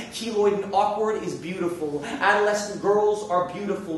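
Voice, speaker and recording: Amid noticeable background noise, a man with an American accent and a high pitch talks at a moderate pace. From New York City. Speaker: spoken word poet. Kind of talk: spoken word poetry performance.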